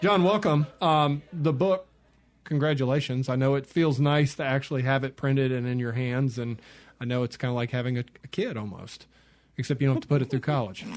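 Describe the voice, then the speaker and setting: Speaking at a fairly quick pace, a man with an American accent uses a normal speaking voice at medium pitch, with ordinary pitch variation. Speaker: radio host. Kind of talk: radio interview. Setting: studio.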